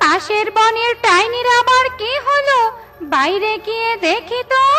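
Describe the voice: Amid loud background noise, a cartoonish character voice talks at a fairly slow pace. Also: woman, extremely high pitch for a woman.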